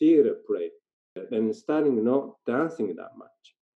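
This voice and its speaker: A man with a Japanese accent and ordinary pitch variation. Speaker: dancer and theatre performer. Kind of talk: casual interview. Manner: halting.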